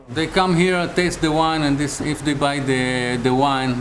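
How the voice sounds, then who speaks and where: Noticeable noise surrounds a man who talks at a fairly slow rate. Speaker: family winery owner, grape grower. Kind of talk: casual interview answer.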